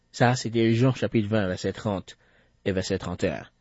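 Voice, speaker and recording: In a Haitian accent, a man speaks at a very slow pace. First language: Haitian Creole (speaking French). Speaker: radio Bible teacher. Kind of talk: Bible teaching broadcast.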